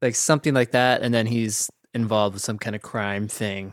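This man has an unremarkable speaking voice, with medium pitch, fairly even intonation and a moderate pace. The very clean recording has a silent background and a dry, close sound with no echo. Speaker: podcast host. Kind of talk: casual chat.

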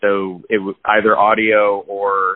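A man's fairly low voice in an American accent. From New Jersey. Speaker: musician and audio engineer. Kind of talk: interview. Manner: halting, many fillers.

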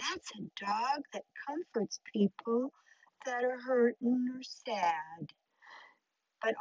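At a very slow pace, a woman is speaking. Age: old. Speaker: podcast host, grandmother. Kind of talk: casual talk to children.

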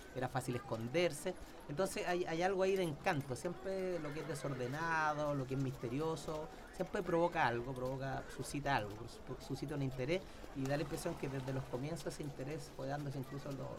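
Noticeable background noise runs under a man's voice. He speaks at a fairly quick pace with fairly high pitch and ordinary pitch variation. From Chile, Santiago. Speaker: historian. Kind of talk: casual interview. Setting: studio.

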